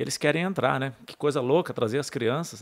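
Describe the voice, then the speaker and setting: A man is speaking here. His pace is fairly quick. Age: 40s. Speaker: life coach; podcast guest, coach. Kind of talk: interview conversation. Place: studio. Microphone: studio mic.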